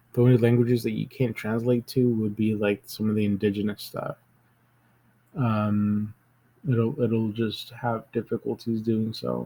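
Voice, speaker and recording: A man speaks at a moderate pace with a dark, mellow tone and a medium pitch. His intonation stays flat and monotone. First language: Spanish. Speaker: tech youtuber. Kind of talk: screen-recorded tutorial. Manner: hesitant, many fillers; casual.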